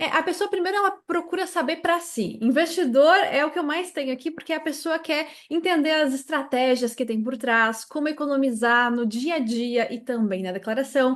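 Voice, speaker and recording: A woman with a southern Brazilian accent, high-pitched and lively in intonation, at a moderate pace with hardly any pauses. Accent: southern Brazilian accent, noticeable. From Brazil, Santa Catarina. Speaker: tax consultant and teacher. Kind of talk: interview.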